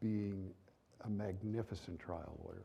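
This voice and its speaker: A man's dark, mellow voice at a moderate pace. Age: 70s. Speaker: trial lawyer. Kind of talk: seminar talk.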